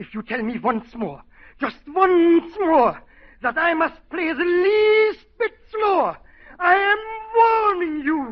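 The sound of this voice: Using a put-on character voice, a man speaks slowly at an extremely high pitch with lively intonation. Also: few pauses.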